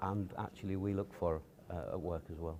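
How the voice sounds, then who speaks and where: Speaking in a Yorkshire accent, a man uses a fairly low pitch. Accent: Yorkshire (Hull) English. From Hull, East Yorkshire. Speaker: businessman. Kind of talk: interview. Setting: stage with audience.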